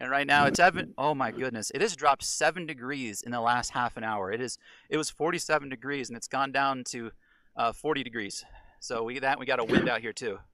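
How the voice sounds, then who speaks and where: Speaking with an American accent, a man at medium pitch moves at a fairly quick pace with ordinary pitch variation. His tone is bright and sharp, and the recording is very clean with a silent background. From Florida. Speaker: astronomy retailer livestream host. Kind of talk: live commentary. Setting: outdoors.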